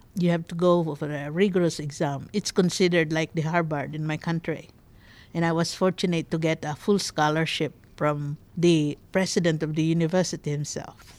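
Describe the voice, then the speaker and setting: In a very clean recording with a silent background, a woman with a Filipino accent speaks in a fairly low, monotone, flat voice. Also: moderate pace. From Philippines. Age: 60s. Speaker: immigrant interviewee. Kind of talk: personal life story interview.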